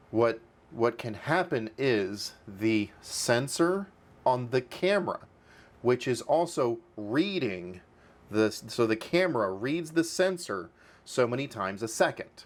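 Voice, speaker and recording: Very slow in pace, a man speaks with very wide pitch swings. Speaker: DIY tech youtuber. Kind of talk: tutorial; explanatory tutorial talk. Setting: home studio. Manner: repetitive, halting fillers. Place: home room.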